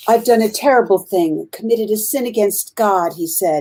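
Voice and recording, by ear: With lively intonation, the text is read aloud in a natural voice.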